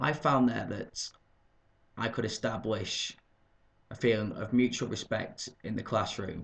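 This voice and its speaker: Somewhat breathy and fairly slow, the voice has a Lancashire accent, ordinary pitch variation, and long, frequent pauses. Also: man, medium pitch for a man. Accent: northern English (Lancashire). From northern England, Burnley, Lancashire. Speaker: English teacher. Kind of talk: video job application. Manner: formal.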